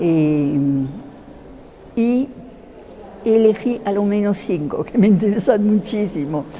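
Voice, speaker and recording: Over noticeable background noise, a woman with a medium-pitched voice speaks at a very slow pace, her intonation lively. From France, Paris. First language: French (speaking Spanish). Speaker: theatre translator. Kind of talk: interview. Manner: halting, many fillers.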